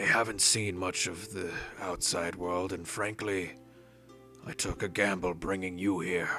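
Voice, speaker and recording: Raspy and very deep, a man's put-on character voice plays over clear background music. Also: moderate pace. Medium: actual play. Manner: formal, courteous.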